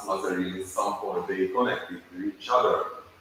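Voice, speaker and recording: A man with a Hungarian accent talks at a moderate pace. Noticeable background noise and audible room echo surround his voice. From Hungary, Budapest. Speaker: animation filmmaker. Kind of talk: conference presentation. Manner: halting.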